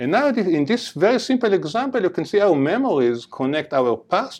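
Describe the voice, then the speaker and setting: A man speaks with an Israeli accent at a moderate pace. His pitch swings very widely. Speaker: neuroscience professor. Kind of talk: lecture.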